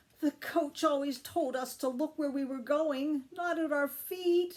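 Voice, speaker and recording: A woman does a put-on character voice with a high pitch at a fairly slow pace. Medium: read story.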